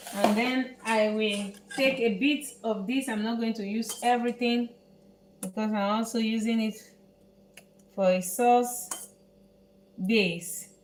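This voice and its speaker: Noticeable background noise sits behind a woman speaking at a very slow pace with long, frequent pauses. Her pitch is fairly high and her intonation fairly even. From Netherlands. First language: Dutch. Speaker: chef. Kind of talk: cooking tutorial. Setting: home kitchen, live stream. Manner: halting.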